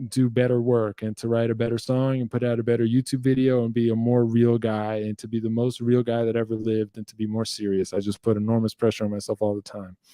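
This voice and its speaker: A man's medium-pitched voice in a New Jersey accent, very fast with hardly any pauses, over noticeable background noise. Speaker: guitar teacher and musician hosting a Q&A livestream. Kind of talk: casual livestream Q&A. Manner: animated.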